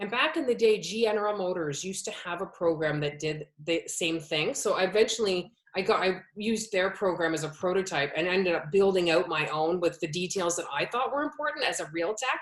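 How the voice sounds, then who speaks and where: Fairly quick and animated, the speaker talks in a Canadian accent with lively intonation and hardly any pauses. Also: woman, medium pitch for a woman. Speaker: automotive educator, business owner. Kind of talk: interview.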